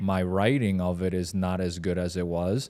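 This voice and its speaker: A man speaks with very deep, low pitch and a dark, mellow tone. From Poland, then moved abroad as a teen. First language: Polish. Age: 30s. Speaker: podcast co-host. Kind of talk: casual chat.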